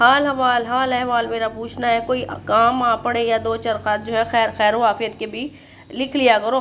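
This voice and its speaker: Her voice sits at a fairly high pitch. The woman is heard with audible room echo around her. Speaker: Urdu literature teacher. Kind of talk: lecture. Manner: halting, many fillers.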